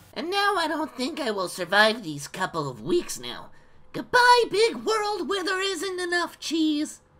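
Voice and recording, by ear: A put-on character voice pitched high. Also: moderate pace.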